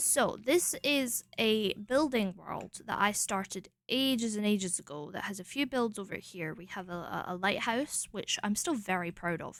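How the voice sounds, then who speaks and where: In a very clean recording with a silent background, a woman mumbles with a Scottish accent at a medium pitch and moderate pace, her intonation lively, her loudness swinging widely, and hardly any pauses. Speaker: streamer. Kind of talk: casual chat. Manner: mumbling.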